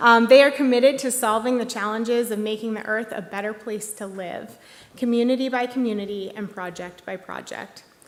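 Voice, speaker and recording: Big swings in loudness run through this woman's fairly high-pitched speech, delivered at a fairly quick pace with fairly even intonation. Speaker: executive director of a tech industry group, award presenter. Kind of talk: award ceremony presentation. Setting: stage at live-broadcast museum event. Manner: hesitant, many fillers.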